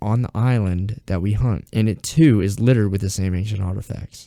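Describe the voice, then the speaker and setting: A man with an Alabama accent, a fairly low pitch, ordinary pitch variation and a dark, mellow tone, in a dry, close sound with no echo. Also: very clean recording, silent background. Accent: southern US (Alabama). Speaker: YouTube storyteller. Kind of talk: reading aloud. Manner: halting, possible stuttering.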